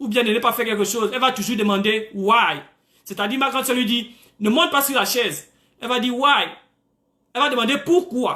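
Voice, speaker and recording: With an extremely high pitch, a man uses a raised, projected voice with a bright, sharp tone and an animated delivery at a moderate pace. His loudness swings widely, and the room echo is audible. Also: ordinary pitch variation. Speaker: preacher. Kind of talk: sermon. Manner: animated, frequent alleluias.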